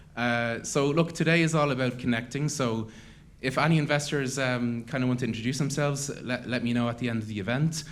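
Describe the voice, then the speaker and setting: A man speaks at a fairly quick pace with an Irish accent. His intonation is fairly even, and there is audible room echo. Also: medium pitch for a man. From Ireland. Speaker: event host, startup network founder. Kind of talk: conference announcements.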